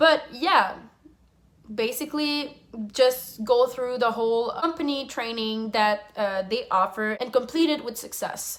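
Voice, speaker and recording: A woman speaks with a French accent. Her pitch is high and her pace fairly slow. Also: ordinary pitch variation. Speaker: flight attendant. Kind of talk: casual Q&A vlog.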